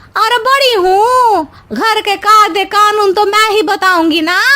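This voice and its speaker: This is a cartoonish character voice at a moderate pace. Its loudness stays very even. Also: woman, extremely high pitch for a woman. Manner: whiny, tattling.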